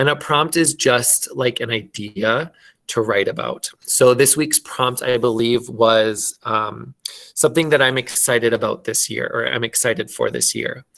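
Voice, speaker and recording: Fairly slow and fairly even in intonation, a man talks. He speaks with a Minnesotan accent. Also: medium pitch for a man. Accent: Minnesota. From Minnesota, US. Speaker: elementary school teacher. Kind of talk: online class lesson. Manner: slow, clear enunciation.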